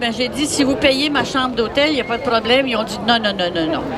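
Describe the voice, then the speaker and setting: A woman speaks in a high voice, with audible room echo. Crowd noise can be heard in the background. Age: 80s+. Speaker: protester. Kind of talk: speech to a crowd.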